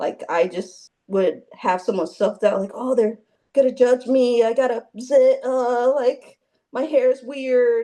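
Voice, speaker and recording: A woman's high-pitched voice, fairly slow, with ordinary pitch variation. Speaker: fitness coaching client. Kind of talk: interview testimony. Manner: halting, many fillers.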